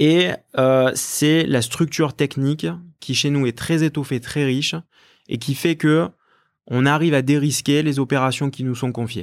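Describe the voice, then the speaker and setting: The recording is very clean, with a silent background. A man with a fairly high pitch and ordinary pitch variation talks at a fairly slow pace, with long, frequent pauses. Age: 30s. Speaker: company executive. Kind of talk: interview. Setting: company office. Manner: hesitant, many fillers and repetitions.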